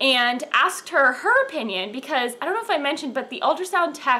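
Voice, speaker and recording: A woman's raised, projected voice swings very widely in pitch. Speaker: pregnancy vlogger. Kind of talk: casual vlog chat. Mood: cheerful, chatty. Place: home room. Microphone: camera far.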